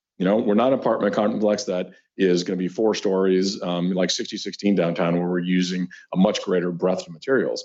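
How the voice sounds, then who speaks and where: At a fairly quick pace, the words come in an unremarkable speaking voice. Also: man. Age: 60s. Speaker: property developer. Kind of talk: presentation to city council.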